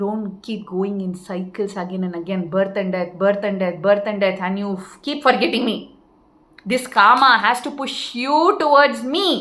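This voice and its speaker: A woman's plain, everyday voice at a medium pitch, with ordinary pitch variation and a moderate pace. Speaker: spiritual teacher. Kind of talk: spiritual talk.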